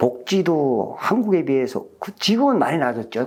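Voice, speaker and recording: A man's pitch rises and falls over a very wide range as he speaks at a medium pace. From North Korea. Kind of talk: interview testimony.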